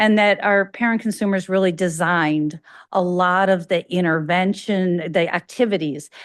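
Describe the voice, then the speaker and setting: Fairly even intonation with a slight Chicago accent, over a quiet background. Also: woman. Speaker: academic researcher, invited speaker. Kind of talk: lecture. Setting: lecture hall with in-person and online audience. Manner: fast.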